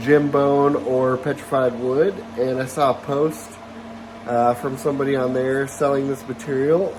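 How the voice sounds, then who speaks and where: A man with a medium-pitched voice talks at a fairly slow pace over noticeable background noise. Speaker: lapidary hobbyist YouTuber. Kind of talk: casual tutorial vlog. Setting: workshop. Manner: hesitant, many fillers.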